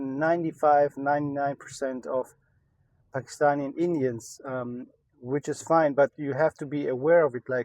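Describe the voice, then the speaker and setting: At a moderate pace, a man with a German accent and a fairly high pitch talks with fairly even intonation, recorded with a dry, close sound and no echo. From Germany. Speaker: entrepreneur, e-commerce YouTuber. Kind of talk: casual vlog update. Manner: many filler words, hesitant.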